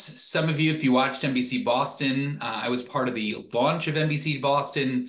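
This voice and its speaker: Fairly slow speech in a quiet background with audible room echo. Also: man. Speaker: presenter. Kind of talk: webinar presentation. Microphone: webcam.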